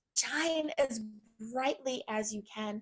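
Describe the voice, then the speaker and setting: Very slow speech from a woman with an American accent and ordinary pitch variation. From US South, Virginia. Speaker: pastoral counselor and empowerment coach. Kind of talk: podcast interview.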